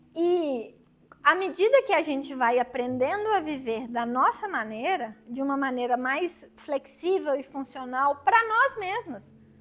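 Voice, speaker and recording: Her voice raised and projected, a woman swings very widely in pitch with a bright, sharp tone. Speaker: psychologist. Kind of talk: lecture.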